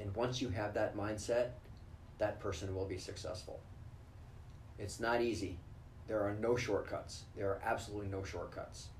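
A somewhat breathy man with an American accent, fairly low pitch, fairly even intonation, moderate pace, long, frequent pauses and audible room echo. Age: 50s. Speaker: ER doctor and ultramarathon runner. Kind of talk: interview.

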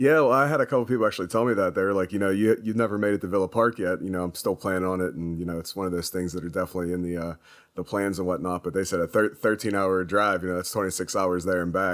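The delivery is very fast. There are hardly any pauses. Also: man, very deep, low pitch for a man, ordinary pitch variation. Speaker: podcast co-host. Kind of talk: casual chat.

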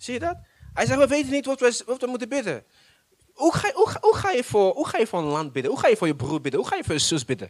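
Talking at a very fast pace, a man with an extremely high pitch swings his voice very widely up and down. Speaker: pastor. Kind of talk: sermon. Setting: church. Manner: animated.

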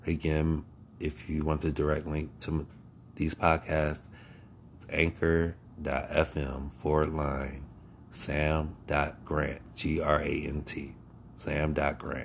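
A man with an American accent and a very deep, low pitch speaks at a very slow pace with vocal fry and a monotone, flat intonation. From Ohio, US Midwest. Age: 40s. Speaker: podcaster. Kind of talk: solo spiritual monologue. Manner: halting.

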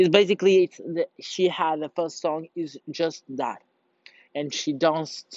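Delivered at a very slow pace, the speech keeps a fairly even intonation. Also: man. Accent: Portuguese. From Portugal. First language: Portuguese. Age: young. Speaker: vlogger. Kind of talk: casual monologue. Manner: halting.

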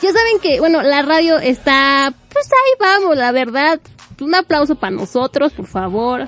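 An animated, fairly slow delivery in a Mexican accent, with very wide pitch swings. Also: woman, high pitch for a woman. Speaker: radio host. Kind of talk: casual chat.

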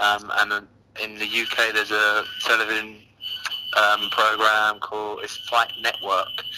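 Over noticeable background noise, a man with a London accent speaks at a fairly slow pace. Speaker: MMA fighter. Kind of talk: interview. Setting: online call, at a train station.

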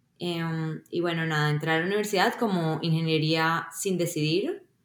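This woman has an ordinary speaking voice, pitched fairly low for a woman, with ordinary pitch variation and a moderate pace. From Colombia. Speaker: software engineer. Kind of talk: interview.

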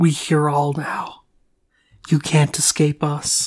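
In a put-on character voice, the speaker talks at a fairly slow pace with a low-to-middle pitch and monotone, flat intonation on a very clean recording with a silent background. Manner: ominous, menacing.

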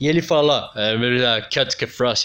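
This man's tone is animated. He keeps to a moderate pace. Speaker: music podcast host. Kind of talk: casual solo commentary.

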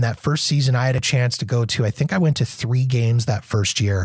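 A somewhat breathy man with a Canadian accent. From Canada. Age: 40s. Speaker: podcaster, former radio broadcaster. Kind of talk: casual chat. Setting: video call.

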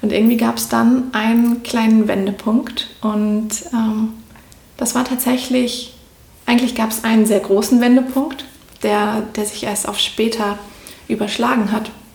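Monotone and flat, the voice moves at a fairly slow pace with long, frequent pauses, amid noticeable background noise and audible room echo. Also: woman, fairly high pitch for a woman. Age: 30s. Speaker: spiritual coach. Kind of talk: interview.

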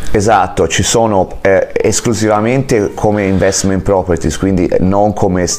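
Over noticeable background noise, a man with a fairly low pitch talks with fairly even intonation, very even loudness and hardly any pauses. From Italy, Florence. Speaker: real estate agent and mortgage broker. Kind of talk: interview. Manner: halting.

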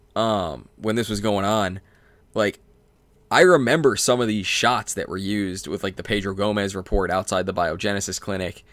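A man with a plain, everyday voice speaks at a moderate pace and a fairly low pitch with ordinary variation, on a very clean recording with a silent background. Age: 20s. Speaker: sports podcast host. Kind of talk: casual chat.

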